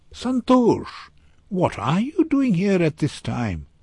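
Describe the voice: A man's put-on character voice, high-pitched and slow, slightly mellow with a slightly husky edge and very wide pitch swings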